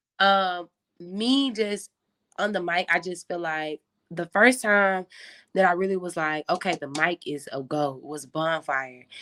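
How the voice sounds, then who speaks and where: A woman with an American accent speaks loudly and fairly slowly in a fairly low, bubbly voice with ordinary pitch variation. The recording is very clean, with a silent background and a dry, close sound with no echo. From Memphis, Tennessee. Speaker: tour DJ. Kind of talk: casual interview chat. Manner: loud, bubbly.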